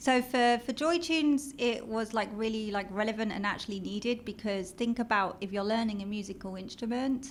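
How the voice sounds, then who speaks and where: The speech moves at a fairly quick pace with hardly any pauses. Pitch varies in an ordinary way. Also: woman, fairly high pitch for a woman. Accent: British. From London, England. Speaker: marketing executive. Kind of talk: interview.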